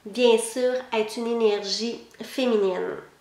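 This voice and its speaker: A woman with a slight Québécois accent speaks at a high pitch. Audible room echo and noticeable background noise fill the recording. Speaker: psychic lecturer. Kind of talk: online lecture.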